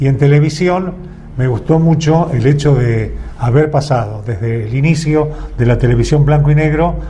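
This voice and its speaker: A man with a Rioplatense accent talks at a fairly high pitch, with audible room echo and noticeable background noise. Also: ordinary pitch variation, moderate pace. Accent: Argentine Rioplatense Spanish. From Argentina, Buenos Aires province. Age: 80s+. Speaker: veteran radio and TV announcer. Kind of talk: interview.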